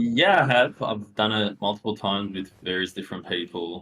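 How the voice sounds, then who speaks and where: With fairly even intonation, a man's very deep, low voice moves at a moderate pace. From former Yugoslavia, moved to Australia at ten. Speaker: web3 entrepreneur. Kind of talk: podcast interview. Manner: many fillers (um, you know).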